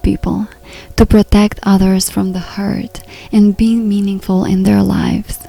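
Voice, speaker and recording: Amid noticeable background noise, a soft-spoken woman talks at a fairly slow pace with a medium pitch. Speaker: personal development counselor and relationship coach. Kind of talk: podcast monologue.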